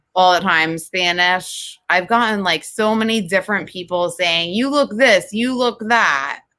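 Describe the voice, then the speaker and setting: A woman's medium-pitched voice with an American accent and a bright, sharp tone, fairly slow in pace with hardly any pauses and ordinary pitch variation. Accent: Jersey girl accent, slight Southern touch. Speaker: podcast co-host. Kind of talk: casual chat. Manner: animated.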